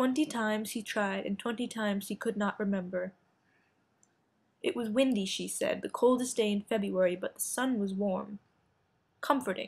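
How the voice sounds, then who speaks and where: In a fairly high pitch, a somewhat breathy woman talks at a moderate pace with ordinary pitch variation and long, frequent pauses. The recording is very clean, with a silent background. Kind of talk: art film narration.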